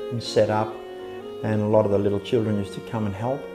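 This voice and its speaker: With music in the background, a man talks in an Australian accent. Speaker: Navy veteran, nippers coach. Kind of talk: interview answer.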